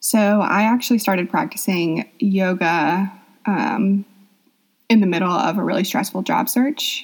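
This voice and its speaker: Somewhat breathy, a woman speaks at a medium pitch. Her pace is fairly slow, with ordinary pitch variation. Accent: American. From US South, Atlanta, Georgia. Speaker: yoga teacher. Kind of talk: interview.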